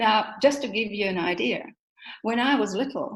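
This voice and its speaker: Audible room echo fills the recording. The speaker's intonation is lively, with a moderate pace. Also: woman. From Germany. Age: 60s. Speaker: motivational speaker. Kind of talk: interview.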